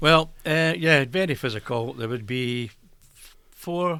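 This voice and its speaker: On a very clean recording with a silent background, a man with an Edinburgh accent speaks fairly slowly in a bright, sharp tone with ordinary pitch variation. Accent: Scottish (Edinburgh). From Edinburgh, Scotland. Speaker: retired brewery worker. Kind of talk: interview answer.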